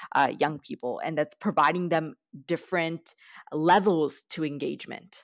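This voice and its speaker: This woman has an ordinary speaking voice, fairly low in pitch, with a Canadian accent, ordinary pitch variation and a moderate pace. The very clean recording has a silent background and a dry, close sound with no echo. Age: 20s. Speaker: youth activist and student. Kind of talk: interview.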